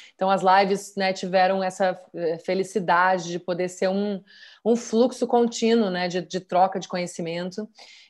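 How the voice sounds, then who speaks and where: The background stays quiet. A woman speaks at a moderate pace with fairly even intonation. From Rio Grande do Sul, Brazil. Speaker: actress. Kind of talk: casual interview. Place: home room. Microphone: video call.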